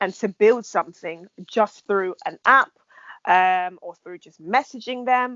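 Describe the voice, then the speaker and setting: A woman talks with a London accent at a moderate pace. Her pitch is fairly high and varies in an ordinary way. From England. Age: 20s. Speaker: podcast host. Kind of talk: podcast intro; casual chat.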